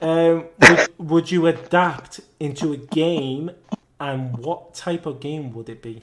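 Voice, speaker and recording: A man with an English accent talks at a very slow pace, fairly high in pitch, with ordinary pitch variation and big swings in loudness. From England. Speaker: podcast host. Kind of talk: casual chat. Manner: stuttering.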